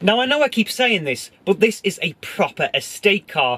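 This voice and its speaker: With a British accent, a man talks at a moderate pace in a bright, sharp tone, his pitch swinging very widely. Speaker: car reviewer. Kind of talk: car review presentation; casual driving commentary. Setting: inside a moving car. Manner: shouting.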